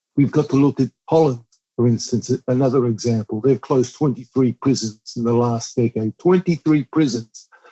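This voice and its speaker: This man has an Australian accent and a medium pitch. His intonation stays fairly even at a moderate pace. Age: 60s. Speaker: youth justice advocate. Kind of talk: interview. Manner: emphatic, repetitive.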